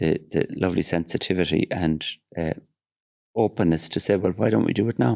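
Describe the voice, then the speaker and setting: With an Irish accent and a very deep, low pitch, a man talks at a fairly quick pace with ordinary pitch variation, very even loudness, and long, frequent pauses. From Ireland. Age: 60s. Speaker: film producer. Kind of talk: casual chat. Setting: studio.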